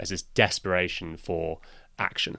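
A man speaks at a moderate pace with a bright, sharp tone. The recording is very clean, with a silent background. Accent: British. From Britain. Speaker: podcast guest. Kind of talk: casual chat.

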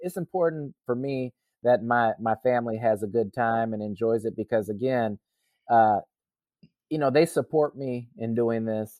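An ordinary speaking voice with an American accent, ordinary pitch variation and a moderate pace. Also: man. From US Midwest, Racine, Wisconsin. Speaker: triathlete. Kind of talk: interview.

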